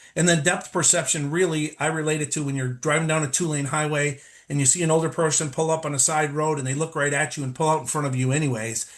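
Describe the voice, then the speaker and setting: Speaking at a very fast pace, a man with a fairly high pitch sounds somewhat breathy, his pitch varying in an ordinary way. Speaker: lighting design presenter. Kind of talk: webinar presentation. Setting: live webinar.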